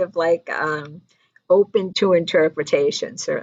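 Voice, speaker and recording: A woman with an ordinary speaking voice and medium pitch talks with lively intonation. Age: 60s. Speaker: online show host, group founder. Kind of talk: casual talk to camera. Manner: casual, filler-heavy.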